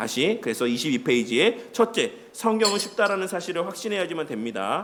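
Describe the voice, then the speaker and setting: Audible room echo and noticeable background noise surround a man. His pitch swings very widely. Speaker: pastor. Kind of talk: lecture. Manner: conversational teaching with questions.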